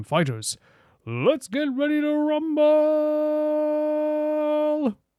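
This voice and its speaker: A put-on character voice speaks at a very slow pace with high pitch. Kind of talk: announcer. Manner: hyped, theatrical.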